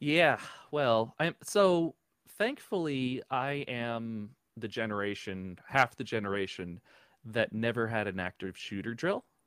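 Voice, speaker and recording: A man with an American accent speaks slowly in an unremarkable speaking voice at medium pitch, with lively intonation. The recording is very clean with a silent background and a dry, close sound with no echo. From New Jersey. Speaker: podcaster, tech worker, Air Force veteran. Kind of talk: casual interview.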